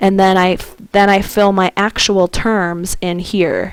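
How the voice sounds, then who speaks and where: Here a woman speaks at a medium pitch. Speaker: math teacher. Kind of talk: tutorial. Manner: slow.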